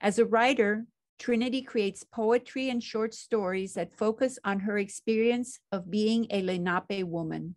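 A woman's fairly high voice, fairly even in intonation, at a moderate pace with hardly any pauses, over a quiet background. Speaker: university department host. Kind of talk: formal welcome and introductions. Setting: video call webinar. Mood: warm, formal. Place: home room.

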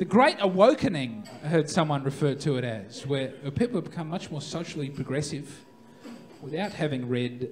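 A man with an Australian accent at a fairly high pitch, lively intonation and a fairly slow pace, over light background noise. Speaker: stand-up comedian. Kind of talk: live stand-up comedy set. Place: stage. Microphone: handheld.

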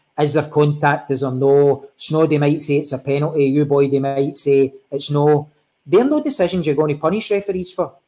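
A man with a Glaswegian accent speaks at a moderate pace, his fairly high pitch set in a dark, mellow tone with fairly even intonation. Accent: Glaswegian Scottish. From Scotland, East End of Glasgow; Scotland. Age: 40s. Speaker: football referee; guest. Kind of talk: interview. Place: home room.

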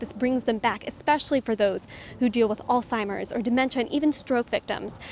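A woman talks at a fairly quick pace with fairly even intonation, in a dry sound with no echo and light background noise. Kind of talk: interview answer. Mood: earnest, heartfelt. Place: open country. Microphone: handheld.

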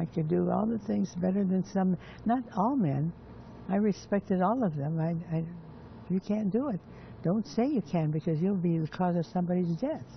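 Her voice is somewhat breathy, with very even loudness and a moderate pace. The woman leaves long, frequent pauses, and there is light background noise. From United States. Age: 80s+. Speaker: Marine Corps veteran of World War Two. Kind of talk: interview answer. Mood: earnest, firm. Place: garden.

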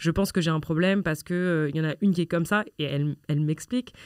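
On a very clean recording with a silent background, a woman speaks at a very fast pace with ordinary pitch variation. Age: 20s. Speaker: children's rights activist. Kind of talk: conversational interview. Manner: hesitant, many fillers.

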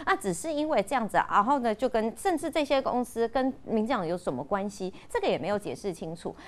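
Racing along at a very fast pace with hardly any pauses, a woman's voice swings very widely in pitch. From Taiwan. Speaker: party spokesperson. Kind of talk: panel discussion. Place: studio.

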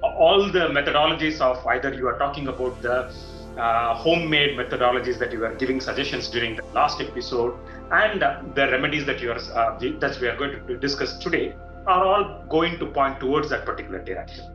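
With clear music in the background and audible room echo, a man talks at a fairly quick pace with ordinary pitch variation. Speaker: show host. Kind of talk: interview question. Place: home room. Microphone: video call.

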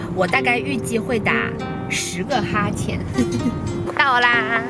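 With loud music in the background, a woman speaks at a fairly slow pace in a dry sound with no echo. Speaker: vlogger. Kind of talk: casual vlog chat. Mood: playful, joking.

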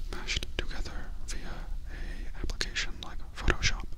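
A man whispers at a fairly slow pace. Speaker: comedic reviewer. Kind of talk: deadpan review commentary. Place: home room. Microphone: handheld.

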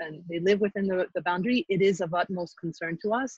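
This woman's voice is somewhat breathy. The sound is dry with no echo, and the background is quiet. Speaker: committee chair. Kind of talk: public meeting. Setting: video call. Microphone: video call.

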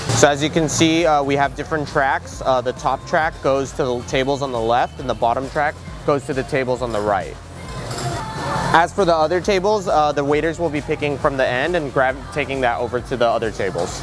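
A man at a fairly quick pace, ordinary pitch variation, dry sound with no echo and clear music behind him. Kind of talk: interview answer. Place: cafe. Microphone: lapel.

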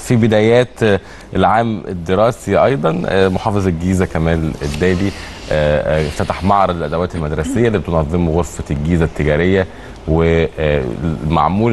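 Over light background noise, a man speaks in a very deep, low voice with ordinary pitch variation. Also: very even loudness. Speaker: TV morning show host. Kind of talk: news presenting with casual chat. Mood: cheerful, smiling. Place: studio. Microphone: lapel.

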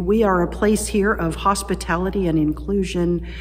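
This woman talks at a moderate pace. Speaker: pastor. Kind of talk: welcome and announcements to online worshippers. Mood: warm, welcoming. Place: church. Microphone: phone near.

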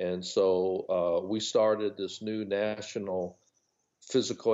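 A man with a General American accent and a normal speaking voice, fairly low in pitch, at a fairly slow pace. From US West Coast. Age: 60s. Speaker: retired physical education teacher and publisher. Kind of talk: casual interview.

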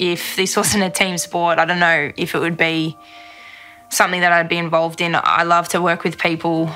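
Faint music plays behind a woman speaking at a moderate pace. Her fairly low pitch carries a monotone, flat intonation. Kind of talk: interview answer. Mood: reflective, sincere. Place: studio. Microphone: studio mic.

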